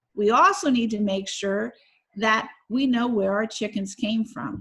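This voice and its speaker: A woman speaks loudly at a very slow pace. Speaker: science educator. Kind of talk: educational video for children. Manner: animated.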